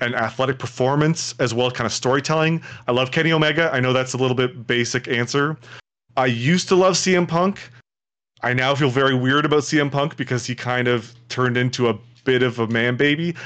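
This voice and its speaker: An ordinary speaking voice with a Canadian accent, at a fairly quick pace with fairly even intonation and very even loudness, over a quiet background. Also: man. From Toronto, Canada. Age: 30s. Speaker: streamer. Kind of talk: casual interview chat.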